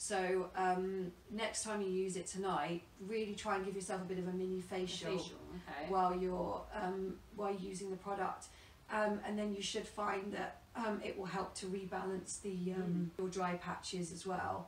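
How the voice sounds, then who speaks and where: A woman at a moderate pace with monotone, flat intonation, amid light background noise and audible room echo. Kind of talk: interview answer. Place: home room. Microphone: camera far.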